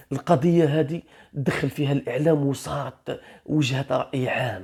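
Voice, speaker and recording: The speaker has an Algerian accent. The pace is fairly slow. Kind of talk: true crime story narration. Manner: casual storytelling.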